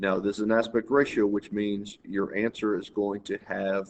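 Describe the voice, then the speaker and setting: A man with a plain, everyday voice and fairly low pitch talks at a moderate pace with fairly even intonation. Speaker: math teacher. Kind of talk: tutorial.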